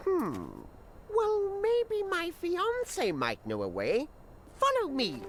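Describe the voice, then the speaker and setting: A cartoonish character voice goes at a very slow pace over clear background noise. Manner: chatty, with cawing "gra" sounds and chuckles.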